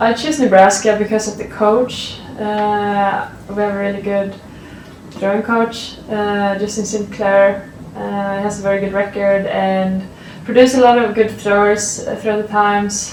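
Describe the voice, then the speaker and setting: A woman in a Swedish accent, medium-pitched and monotone, at a fairly slow pace, with audible room echo and noticeable background noise. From Sweden. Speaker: college athlete, shot putter. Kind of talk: interview answers. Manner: halting, many fillers.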